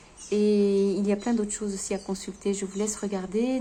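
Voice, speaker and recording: Keeping a moderate pace, a woman's voice holds a medium pitch. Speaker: vlogger sharing grief testimony. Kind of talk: unscripted personal vlog testimony. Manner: halting, many hesitations and stammers.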